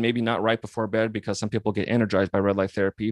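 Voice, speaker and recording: A man at a very fast pace with an American accent, in a very clean recording with a silent background and a dry, close sound with no echo. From Montana. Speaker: physical therapist and company founder. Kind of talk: interview.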